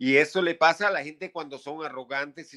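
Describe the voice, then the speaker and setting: The recording is very clean, with a silent background. A man speaks in a bright, sharp tone with ordinary pitch variation. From Venezuela. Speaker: punk rock musician. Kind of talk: interview.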